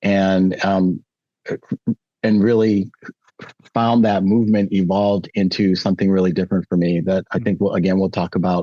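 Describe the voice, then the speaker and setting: A man with an American accent, fairly low-pitched and dark, mellow in tone, at a moderate pace with ordinary pitch variation, in a dry, close sound with no echo. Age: 60s. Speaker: former counselor, podcast guest. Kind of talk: interview.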